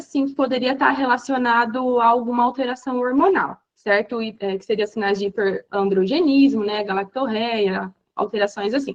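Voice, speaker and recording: A woman with a normal speaking voice talks at a fairly high pitch with ordinary pitch variation. Her pace is moderate, with hardly any pauses. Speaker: physician teaching exam review. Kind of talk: online lecture.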